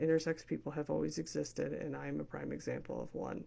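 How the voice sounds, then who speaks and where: A woman talks at a fairly quick pace. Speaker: vlogger. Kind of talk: personal vlog. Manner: casual, halting.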